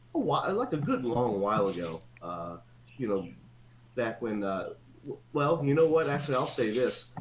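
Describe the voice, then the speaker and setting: Amid audible room echo, a man with an American accent speaks at a medium pitch, making very wide pitch swings and taking long, frequent pauses. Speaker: old school friend of the host. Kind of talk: casual chat. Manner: fast.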